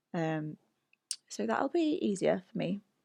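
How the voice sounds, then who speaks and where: A woman talks at a fairly slow pace with a British accent. The sound is dry and close, with no echo. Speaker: video game streamer. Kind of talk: casual chat. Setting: live stream.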